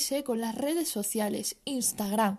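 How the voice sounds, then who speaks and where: The woman's tone is dark and mellow. She talks with lively intonation. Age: 20s. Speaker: podcaster. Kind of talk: personal monologue.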